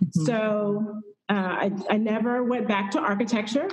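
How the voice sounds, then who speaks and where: In an audible room echo, a woman with an American accent talks at a fairly slow pace, using a fairly high pitch and ordinary pitch variation. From Houston, Texas. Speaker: fiber artist. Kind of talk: interview. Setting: video call from a gallery. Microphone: echo, hollow sound from large gallery.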